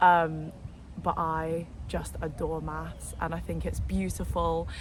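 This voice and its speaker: The speech moves at a very slow pace, with audible room echo. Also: woman. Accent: London. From London, England. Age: 20s. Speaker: vlogger. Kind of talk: casual vlog monologue. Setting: outdoors in a park. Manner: animated; talkative.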